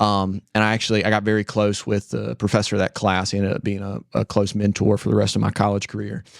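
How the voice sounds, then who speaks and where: A fairly low-pitched man with an Appalachian accent, very fast and with hardly any pauses, fairly even in intonation, in a dry, close, very clean recording with no echo and a silent background. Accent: Southern US (Appalachian North Carolina). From US South (western North Carolina, Spindale). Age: 20s. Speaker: church member sharing his faith story. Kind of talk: testimony.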